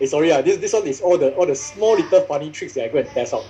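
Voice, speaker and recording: This man's delivery is very fast. Behind him there is noticeable background noise. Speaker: social media marketing trainer. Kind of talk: workshop talk. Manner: animated.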